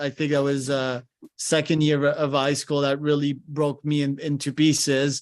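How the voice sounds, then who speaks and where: A man talks at a fairly slow pace and a fairly high pitch. His intonation stays monotone and flat. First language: French. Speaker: podcast host. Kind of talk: live coaching session on a podcast.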